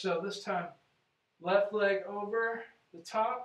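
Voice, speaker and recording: A man speaks with a high pitch. Audible echo fills the room. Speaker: chiropractor. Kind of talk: exercise tutorial. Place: office. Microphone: camera far.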